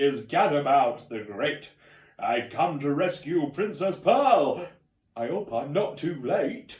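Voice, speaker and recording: A man uses a put-on character voice at a fairly high pitch. He goes at a fairly slow pace. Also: lively intonation. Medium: read story. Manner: grand, gallant.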